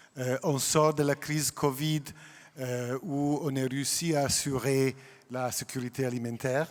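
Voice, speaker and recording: With a non-native accent, a man speaks at medium pitch and a fairly slow pace in a flat, monotone way. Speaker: food industry executive. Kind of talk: panel discussion.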